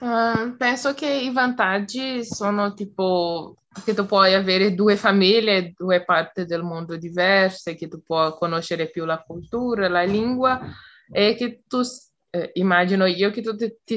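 With a plain, everyday voice, a woman speaks at a medium pitch and a fairly slow pace with ordinary pitch variation over a quiet background. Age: 20s. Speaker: psychology student, language learner. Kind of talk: casual group conversation practice. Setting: video call.

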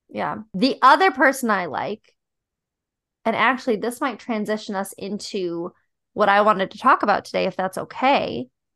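Over a quiet background, a bright, sharp voice with vocal fry moves at a moderate pace, with lively intonation and big swings in loudness. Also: woman, fairly high pitch for a woman. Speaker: podcast host. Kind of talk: casual comedic chat.

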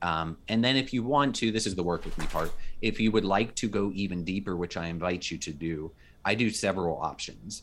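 The man's pitch is fairly low, and his is a normal speaking voice. He talks at a moderate pace in a very clean recording with a silent background. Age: 40s. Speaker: communication professor and coach. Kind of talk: casual interview chat.

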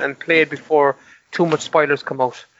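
In a Cork accent, a man speaks at a fairly high pitch and a fairly quick pace. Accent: Cork Irish. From Ireland, Cork (Mallow). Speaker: podcast co-host. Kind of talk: casual chat.

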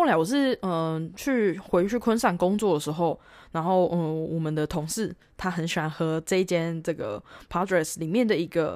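In a very clean recording with a silent background, a woman with a fairly low pitch speaks at a moderate pace with lively intonation. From Taiwan. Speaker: travel podcaster, backpacker. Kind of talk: casual solo monologue. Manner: hesitant, many fillers.

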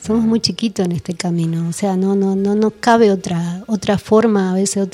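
A woman's somewhat breathy, medium-pitched voice at a moderate pace, with monotone, flat intonation. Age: 50s. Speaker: researcher and author on esoteric history. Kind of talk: radio interview.

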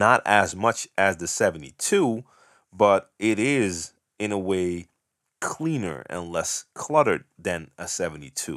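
A man's fairly low voice with lively intonation at a fairly slow pace, on a very clean recording with a silent background. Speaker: DJ podcast host answering questions. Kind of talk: solo Q&A monologue. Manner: casual, unscripted.

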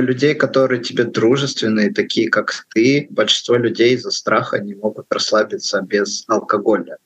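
Here a man speaks at a fairly slow pace and a medium pitch. His intonation stays fairly even, in a plain, everyday voice. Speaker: podcast co-host. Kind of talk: podcast interview.

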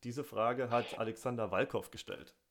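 A man's plain, everyday voice at medium pitch and a moderate pace, on a very clean recording with a silent background. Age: 30s. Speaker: podcast host. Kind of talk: interview.

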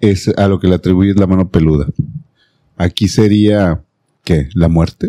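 A man speaks at a very deep, low pitch in a dark, mellow tone, with ordinary pitch variation and very even loudness. His pace is fairly slow, with long, frequent pauses, and the sound is dry and close with no echo. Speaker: podcast host. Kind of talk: casual chat; storytelling.

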